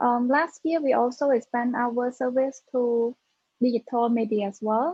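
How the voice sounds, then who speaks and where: A woman with a Cambodian accent, fairly high-pitched and fairly slow, with fairly even intonation. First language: Khmer. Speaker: tech startup founder. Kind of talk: panel discussion.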